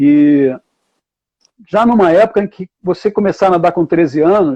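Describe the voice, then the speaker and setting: The voice has a dark, mellow tone and a Carioca accent. It moves at a moderate pace with ordinary pitch variation, and the sound is dry and close with no echo. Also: man. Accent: carioca Brazilian Portuguese. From Rio de Janeiro, Brazil. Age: 70s. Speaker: water polo coach and university professor. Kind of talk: live online talk.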